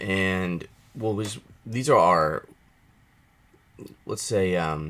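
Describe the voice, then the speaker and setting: Raspy, put-on character voice from a man, very deep and low in pitch, at a very slow pace. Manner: stuttering, stumbling over words.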